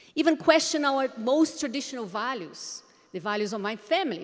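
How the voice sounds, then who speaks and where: A woman with a Portuguese accent at a fairly quick pace, with ordinary pitch variation. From Brazil, Brasilia. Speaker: education conference speaker. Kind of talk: conference presentation.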